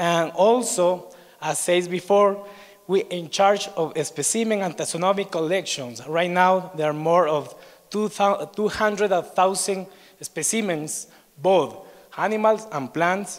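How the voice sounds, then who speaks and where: The speech carries an Ecuadorian accent. The pace is fairly slow. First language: Spanish. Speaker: researcher at a biodiversity institute. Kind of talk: conference presentation. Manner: halting.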